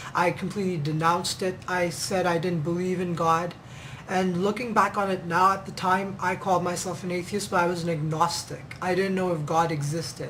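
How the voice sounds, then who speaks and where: Over noticeable background noise and audible room echo, a man talks in a high, monotone voice with flat intonation. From Pakistan, then Kenya from age thirteen. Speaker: ministry member. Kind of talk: testimony. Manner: halting, many fillers.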